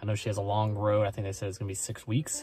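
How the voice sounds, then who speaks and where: Faint music plays in the background. A man speaks in a fairly low pitch. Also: dry sound with no echo. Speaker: vlogger. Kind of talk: casual vlog chat. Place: car. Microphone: phone near.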